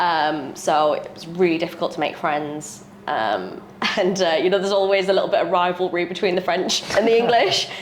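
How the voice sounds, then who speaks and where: A woman talks at a fairly quick pace with fairly low pitch and ordinary pitch variation. Noticeable background noise and audible room echo fill the recording. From England, mixed (Middlesbrough family, RAF moves, Spain, France). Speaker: real estate agent. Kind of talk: podcast interview.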